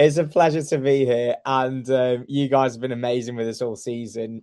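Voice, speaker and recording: At a moderate pace, a man with a Staffordshire accent speaks in a dark, mellow tone at medium pitch with fairly even intonation. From Staffordshire, English Midlands. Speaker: radio sports editor. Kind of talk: podcast interview.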